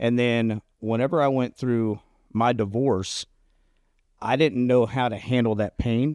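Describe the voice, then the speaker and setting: In a very clean recording with a silent background and a dry, close sound with no echo, a man with a medium-pitched voice, an ordinary speaking voice, talks at a fairly slow pace with fairly even intonation. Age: 40s. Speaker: recovering addict podcast co-host. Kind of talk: casual chat.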